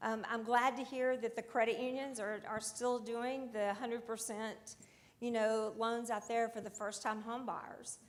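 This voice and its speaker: The speaker, in a Southern US accent, goes at a fairly slow pace with monotone, flat intonation. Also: woman. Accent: southern drawl. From US South, Alabama. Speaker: audience member in mortgage warehouse lending. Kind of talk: panel discussion comment.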